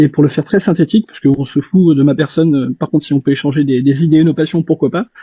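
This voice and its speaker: The man's voice is somewhat breathy and fairly high in pitch, with ordinary pitch variation. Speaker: reverse engineer, self-taught tinkerer. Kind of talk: casual discussion in live audio chat. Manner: fast; hesitant, many fillers.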